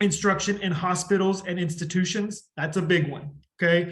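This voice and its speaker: Audible room echo surrounds a man's high-pitched voice, which has a bright, sharp tone and monotone, flat intonation. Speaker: education instructor. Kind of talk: lecture. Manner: fast.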